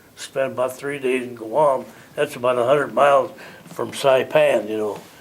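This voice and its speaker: Speaking at a moderate pace with a Midwestern American accent and fairly even intonation, a man is heard through noticeable background noise. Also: medium pitch for a man. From US Midwest (Illinois). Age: 90s. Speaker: war veteran. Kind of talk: oral history interview. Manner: halting, repetitive.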